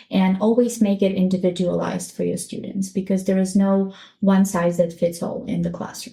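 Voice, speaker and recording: A woman's somewhat breathy voice at medium pitch, monotone and flat, at a moderate pace. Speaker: teacher and educational consultant. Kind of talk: podcast interview. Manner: slight stutter, past stutter mostly gone.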